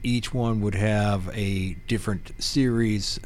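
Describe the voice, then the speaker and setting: There is audible room echo around a man with a fairly low pitch. He speaks at a very slow pace. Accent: American. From Pennsylvania. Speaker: real estate professional. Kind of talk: casual interview.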